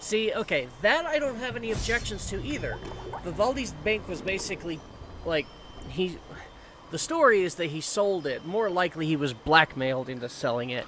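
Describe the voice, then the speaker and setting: A man speaks at a moderate pace in a high pitch, with very wide pitch swings. Noticeable background noise is present. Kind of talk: let's play commentary. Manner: casual, self-deprecating.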